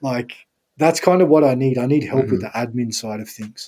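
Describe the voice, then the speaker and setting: Speaking with an Australian accent, a man has a dark, mellow tone and ordinary pitch variation. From Sydney, Australia. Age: 30s. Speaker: strength and conditioning coach. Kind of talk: casual interview chat.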